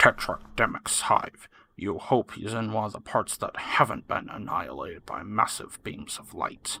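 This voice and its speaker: This is a put-on character voice with a growl. It moves at a moderate pace. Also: man, medium pitch for a man. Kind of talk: second-person game narration. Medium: read story. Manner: dry, wry, deadpan.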